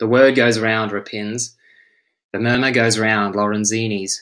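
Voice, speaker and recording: Against a quiet background, a man with an Australian accent speaks fairly slowly in a medium-pitched voice that is bright and sharp, with a solemn tone. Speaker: English and French teacher. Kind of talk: poetry reading. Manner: slow, measured, solemn delivery.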